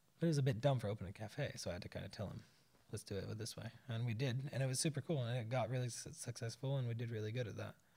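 Very fast and somewhat breathy, a man with an American accent talks at a medium pitch with ordinary pitch variation. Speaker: expat guest, bartender and father. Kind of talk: casual chat. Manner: animated.

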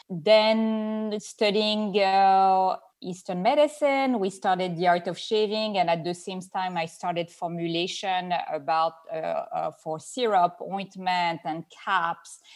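Speaking at a very slow pace with hardly any pauses, a woman with a French accent uses a medium pitch and ordinary pitch variation. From France. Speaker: skincare formulator and entrepreneur. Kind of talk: interview conversation. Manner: halting.

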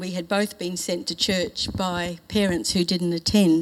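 Her voice is an unremarkable speaking voice at medium pitch. The woman speaks at a moderate pace with fairly even intonation. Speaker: church member giving testimony. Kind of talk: testimony.

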